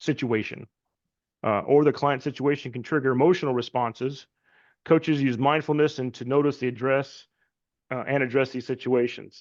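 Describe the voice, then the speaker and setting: A man with a medium-pitched voice talks with fairly even intonation against a quiet background. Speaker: health and wellness coach trainer. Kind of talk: online course lecture. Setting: virtual class. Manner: fast.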